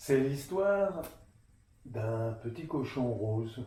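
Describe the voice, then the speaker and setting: Very wide pitch swings from a man at a medium pitch. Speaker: storyteller. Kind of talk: children's storytelling, tale told to an audience.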